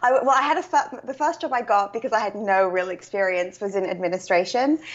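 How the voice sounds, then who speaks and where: Speech races along at a very fast pace with a British accent. The intonation is lively. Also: woman. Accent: British accent noted. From UK. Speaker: author and coach. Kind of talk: interview.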